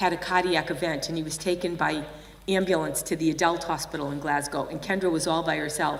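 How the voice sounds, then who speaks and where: A woman at a fairly quick pace with a Boston accent and fairly even intonation, amid audible room echo and noticeable background noise. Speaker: nurse and healthcare improvement leader. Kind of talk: conference keynote.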